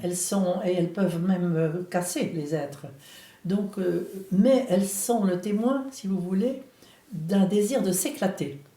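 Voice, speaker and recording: At a very slow pace, a woman with a medium pitch talks with lively intonation, leaving long, frequent pauses. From France, Brittany (Rennes). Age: 80s+. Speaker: spiritual author and former psychotherapist. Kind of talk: interview answer.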